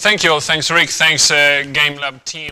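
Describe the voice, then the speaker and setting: A man speaks with an Argentine accent. His pitch is fairly high and his pace moderate. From Argentina. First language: Spanish. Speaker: humanitarian researcher. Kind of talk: guest talk.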